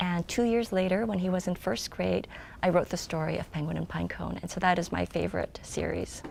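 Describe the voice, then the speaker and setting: A fairly quick pace in a Korean accent. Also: woman. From South Korea, moved to US as child. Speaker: children's book author and illustrator. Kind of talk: interview answers. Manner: hesitant, many filler ums.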